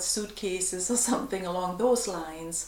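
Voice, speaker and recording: A woman's medium-pitched voice in a calm, gentle tone with an American accent, plus audible room echo and noticeable background noise. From Germany. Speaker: vlogger. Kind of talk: casual Q&A vlog.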